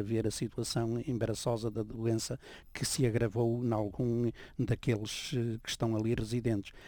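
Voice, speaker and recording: In a very clean recording with a silent background, a man with a European Portuguese accent speaks at a medium pitch with a dark, mellow tone and fairly even intonation. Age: 70s. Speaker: priest and former journalist. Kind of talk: radio interview.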